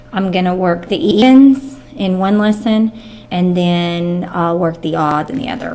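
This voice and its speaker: The speaker talks at a fairly slow pace with lively intonation. Noticeable background noise sits behind the voice. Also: woman, medium pitch for a woman. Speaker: math teacher. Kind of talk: tutorial.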